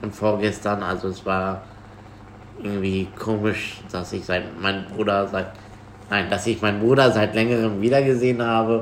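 Noticeable background noise and audible room echo surround a voice moving at a moderate pace with fairly even intonation. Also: man. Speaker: podcast host. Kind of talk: casual chat.

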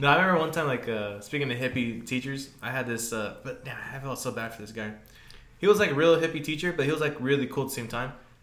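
There is noticeable background noise as a man talks at a very fast pace at medium pitch, with ordinary pitch variation and big swings in loudness. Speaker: podcast co-host. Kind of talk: casual chat. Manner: casual, heavy profanity.

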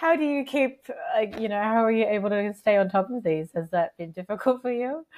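A woman with an Australian accent talks fairly quickly at a fairly high pitch with lively intonation, in a dry, close recording with no echo. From Sydney, Australia, Filipino parents. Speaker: podcast host. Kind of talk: interview; scripted narration.

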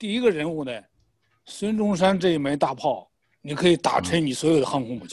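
Lively intonation colors a man's high-pitched speech, delivered at a moderate speed. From Shandong, Jinan. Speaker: political commentator. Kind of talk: political discussion.

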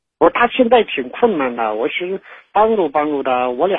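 The speaker is a man. His voice moves through very wide pitch swings. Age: 40s. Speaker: caller. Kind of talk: phone-in confession. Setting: phone call. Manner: halting, hesitant.

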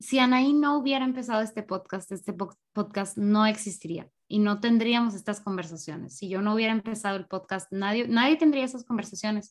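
A woman talks at a fairly quick pace in a fairly high, somewhat breathy voice. Her pitch variation is ordinary. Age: 20s. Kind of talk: casual chat.

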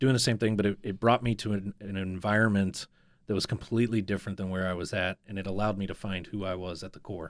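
A man with an American accent, fairly low-pitched, talking very fast in a flat monotone, on a very clean recording with a silent background. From Northeast Ohio. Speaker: business coach. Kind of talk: interview storytelling. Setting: studio.

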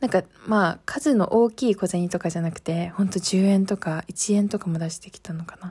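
Heard in a very clean recording with a silent background, the somewhat breathy voice has a dark, mellow tone, a moderate pace and ordinary pitch variation. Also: woman. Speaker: podcast host. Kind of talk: casual chat. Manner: low-energy.

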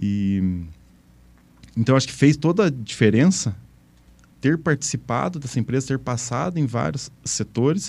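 A man speaks at a medium pitch and a moderate pace in a dark, mellow tone. His pitch swings very widely. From Imbituva, Paraná, southern Brazil. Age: 40s. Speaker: tech company founder and former CEO. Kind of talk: casual interview.

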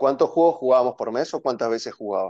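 Over a quiet background, a man talks at a fairly quick pace. The sound is dry and close, with no echo. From Argentina, San Fernando (Buenos Aires). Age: 30s. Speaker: board game enthusiast. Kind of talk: casual chat.

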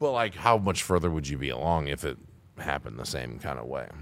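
Very deep and low in pitch, a man's voice has a bright, sharp tone and vocal fry, moving at a fairly quick pace on a very clean recording with a silent background. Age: 30s. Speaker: podcast host. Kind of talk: casual chat.

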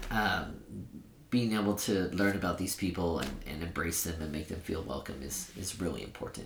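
Over audible room echo, a man with a very deep, low, somewhat breathy voice speaks at a moderate pace. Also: ordinary pitch variation. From Sacramento, California. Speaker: nonprofit director. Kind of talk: podcast interview.

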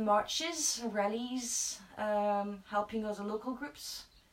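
With noticeable background noise behind her, a woman talks at a fairly high pitch with ordinary pitch variation. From France. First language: French. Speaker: local campaign group organiser. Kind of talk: casual chat.

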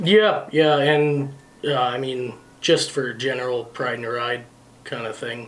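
A man with a Canadian accent at medium pitch, with ordinary pitch variation, a fairly slow pace and big swings in loudness, amid noticeable background noise and audible room echo. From northern Manitoba, Canada. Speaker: truck driver. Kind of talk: casual chat.

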